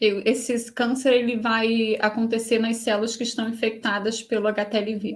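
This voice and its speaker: Speaking with hardly any pauses, a woman sounds somewhat breathy, her fairly high pitch held in a monotone, flat intonation. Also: fairly quick pace. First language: Portuguese. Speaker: host and interpreter. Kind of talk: live interpretation in webinar.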